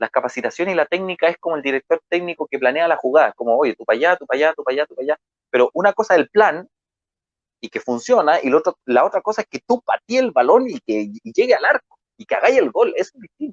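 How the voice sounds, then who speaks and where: With an energetic tone, a high-pitched man talks at a very fast pace, making very wide pitch swings and big swings in loudness, the sound dry and close with no echo. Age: 30s. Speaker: marketing speaker. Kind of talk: motivational talk.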